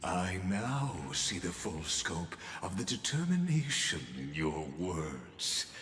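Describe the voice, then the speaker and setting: Through clear background noise, a man uses a put-on character voice with a very deep, low pitch at a very slow pace. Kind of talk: formal literary speech. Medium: video game. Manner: measured, elegant, lecturing.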